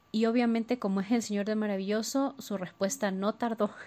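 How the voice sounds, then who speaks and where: A woman with an unremarkable speaking voice talks at a moderate pace, her fairly high pitch held in fairly even intonation. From Ecuador. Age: 30s. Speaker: listener sharing story. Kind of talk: personal testimony. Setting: recorded voice message.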